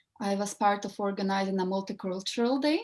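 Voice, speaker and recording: A woman speaks with a Russian accent. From Ireland. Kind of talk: casual chat.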